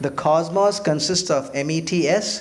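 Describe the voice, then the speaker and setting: With noticeable noise in the background, a man speaks in a fairly high voice with lively intonation. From India. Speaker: physician and lecturer. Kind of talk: public lecture.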